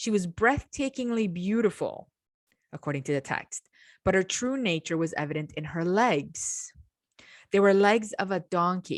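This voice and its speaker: A woman's medium-pitched voice in an Eastern European accent, lively in intonation, on a very clean recording with a silent background and a dry, close sound with no echo. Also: moderate pace. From Romania. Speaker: podcast host, mythology scholar. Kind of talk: educational podcast lecture. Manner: conversational, with filler words.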